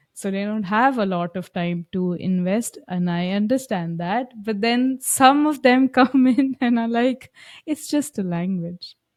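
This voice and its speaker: A woman with an Indian accent speaks at a fairly slow pace, fairly high in pitch, with lively intonation and hardly any pauses. The recording is very clean, with a silent background. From India, Lucknow. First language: Hindi. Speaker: German language coach. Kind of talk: podcast interview.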